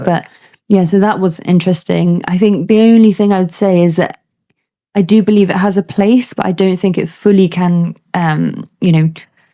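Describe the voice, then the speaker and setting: In a British accent, a woman speaks with a dark, mellow tone, fairly even intonation and very even loudness. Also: medium pitch for a woman, moderate pace. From United Kingdom. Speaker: army doctor, ENT specialist. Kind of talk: interview answer.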